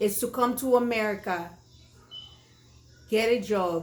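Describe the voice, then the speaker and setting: Speaking in a Haitian accent, the voice moves at a very slow pace. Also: woman. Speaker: online show host. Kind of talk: political commentary monologue. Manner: impassioned.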